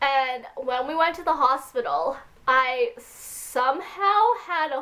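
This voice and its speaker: A woman speaks in a bright, sharp tone with ordinary pitch variation. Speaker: vlogger. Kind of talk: casual rant to camera. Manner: louder than usual.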